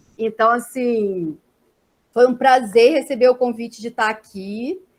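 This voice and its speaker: This woman's voice sits at a high pitch. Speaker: social work professor. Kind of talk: academic lecture. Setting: video call. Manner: slow.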